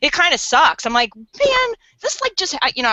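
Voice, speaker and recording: Her pitch swings very widely as the woman talks at a fairly quick pace. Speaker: endurance podcast co-host, triathlete. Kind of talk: casual chat. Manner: halting, repeats words often.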